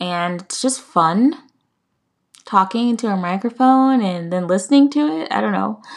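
A woman speaks with an American accent and lively intonation. The recording is very clean, with a silent background. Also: medium pitch for a woman, moderate pace. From United States. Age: 20s. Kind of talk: casual monologue. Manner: halting.

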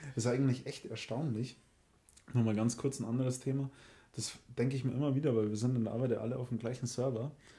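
A man's somewhat breathy voice with a dark, mellow tone, a very fast pace, long and frequent pauses, and monotone, flat intonation. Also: medium pitch for a man. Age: 30s. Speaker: podcast co-host. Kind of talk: casual chat.

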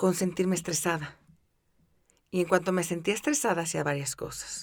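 Woman's fairly low voice in a Mexican accent, with ordinary pitch variation, on a very clean recording with a silent background. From Mexico City. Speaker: podcast host, wellbeing coach. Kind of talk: guided meditation; podcast monologue.

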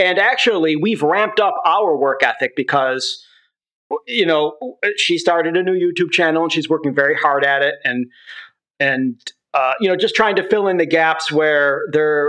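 Keeping very even loudness, a man speaks at a moderate pace in a fairly high pitch, his tone bright and sharp and his pitch variation ordinary. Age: 40s. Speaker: documentary filmmaker and video creator. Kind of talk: casual chat. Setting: phone call. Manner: halting.

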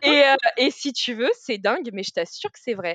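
An animated voice at a moderate pace, recorded with a dry, close sound and no echo. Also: woman. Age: 30s. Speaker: author and book influencer. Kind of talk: casual chat.

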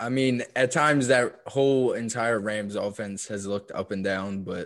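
An unremarkable speaking voice with fairly even intonation proceeds at a fairly slow pace on a very clean recording with a silent background. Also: man. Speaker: fantasy football podcast co-host. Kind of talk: casual chat.

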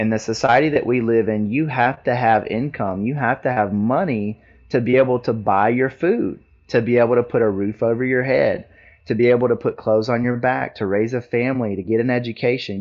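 Ordinary pitch variation and a fairly quick pace in a plain, everyday voice. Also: man. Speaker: Marine Corps veteran and veterans advocate. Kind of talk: interview.

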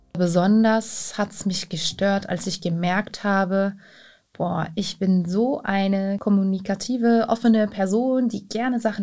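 Against a very clean, silent background, a woman speaks with a medium pitch, a dark, mellow tone, somewhat breathy delivery and fairly even intonation. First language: not German (speaking German). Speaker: immigrant interviewee. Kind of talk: interview.

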